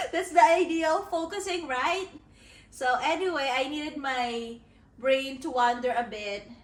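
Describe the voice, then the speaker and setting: Her intonation is lively while she speaks very slowly. There is audible echo from the room around this woman. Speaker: author vlogger. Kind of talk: casual vlog talk to camera.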